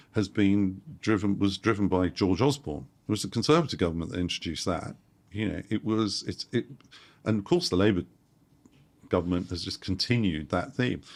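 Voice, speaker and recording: With a London accent, a man speaks at a fairly quick pace and fairly low pitch in a very clean recording with a silent background. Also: ordinary pitch variation. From London, England. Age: 60s. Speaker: property investor. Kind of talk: interview. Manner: animated.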